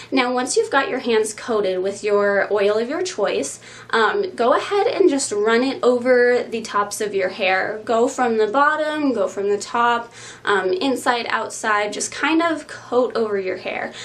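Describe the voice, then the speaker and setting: Against noticeable background noise and audible room echo, a woman talks at a fairly high pitch. Her intonation is lively and her pace fairly slow. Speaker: curly hair YouTuber. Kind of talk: tutorial. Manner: casual, with frequent um fillers.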